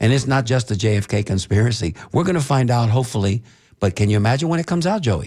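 Talking at a very fast pace, a man with a medium-pitched, somewhat breathy voice keeps his loudness very even while his intonation stays lively. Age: 60s. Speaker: radio talk show host. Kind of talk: casual talk radio discussion. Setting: radio studio.

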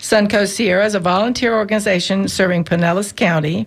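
Noticeable background noise behind a woman's mid-range voice. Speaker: radio host. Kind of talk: reading an introduction.

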